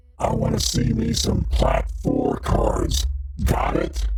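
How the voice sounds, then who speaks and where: Someone performs a put-on character voice at a fairly slow pace over loud background noise. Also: man. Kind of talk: put-on different voice. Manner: mock-threatening.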